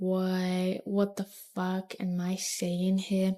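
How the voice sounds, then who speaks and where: A woman with a dark, mellow tone and medium pitch speaks quietly. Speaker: vlogger. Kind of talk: personal monologue to camera. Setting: talking to camera alone. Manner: quiet, low volume; halting, hesitant with restarts.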